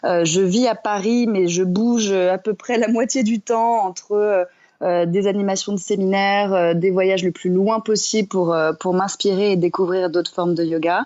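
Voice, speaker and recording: At a fairly slow pace, a woman talks in a medium pitch with fairly even intonation and very even loudness. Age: 30s. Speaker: entrepreneur and yoga teacher. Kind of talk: podcast interview. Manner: many hesitations (euh).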